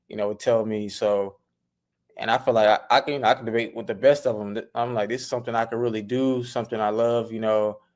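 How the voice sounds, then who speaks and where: The recording is very clean, with a silent background. The speech comes very fast in a monotone, flat delivery. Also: man, medium pitch for a man. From Mississippi. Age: 20s. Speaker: sports podcaster. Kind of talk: interview. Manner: halting.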